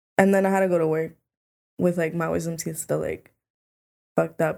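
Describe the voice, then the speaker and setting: On a very clean recording with a silent background, a woman with a fairly low pitch speaks at a very fast pace. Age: 20s. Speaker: podcast guest, former high school cheerleader. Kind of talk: casual chat.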